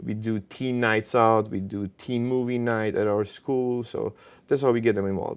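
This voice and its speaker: At a moderate pace, a man with a Bosnian accent talks with fairly even intonation. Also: medium pitch for a man. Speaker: martial arts instructor. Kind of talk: interview.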